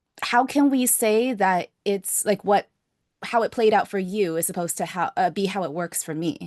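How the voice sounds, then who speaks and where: A woman with a medium pitch uses a normal speaking voice and lively intonation. The sound is dry and close with no echo, over a quiet background. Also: moderate pace. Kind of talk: podcast host conversation.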